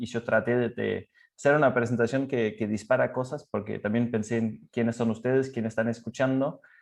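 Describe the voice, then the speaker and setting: A man with a medium pitch and ordinary pitch variation talks against a quiet background. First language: Danish (speaking Spanish). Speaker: cycling expert. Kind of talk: presentation. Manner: halting.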